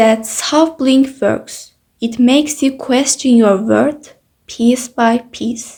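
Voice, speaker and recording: A woman with a non-native accent, high-pitched, very slow, with ordinary pitch variation. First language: not English. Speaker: YouTuber. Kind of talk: personal testimony vlog.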